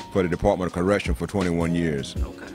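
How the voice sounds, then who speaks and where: Clear music plays in the background. A man speaks at a very deep, low pitch with fairly even intonation. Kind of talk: interview answer. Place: cafe. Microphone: handheld.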